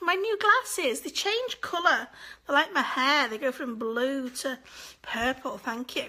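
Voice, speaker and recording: A woman's raised, projected voice, high in pitch, with lively intonation at a fairly slow pace over noticeable background noise. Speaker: angel medium hosting live session. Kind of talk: live stream chat with viewers. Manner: casual, chatty.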